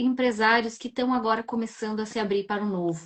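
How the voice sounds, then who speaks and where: Using an ordinary speaking voice, a woman talks at a fairly quick pace. Her pitch is fairly high and her intonation fairly even. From southern Brazil, Rio Grande do Sul. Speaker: live-stream host. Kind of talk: live-stream interview.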